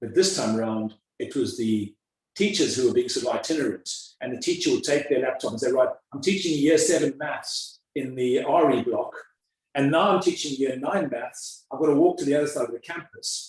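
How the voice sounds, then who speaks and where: A man in a South African accent at a fairly quick pace. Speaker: school headmaster. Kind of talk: interview. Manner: halting, many repetitions.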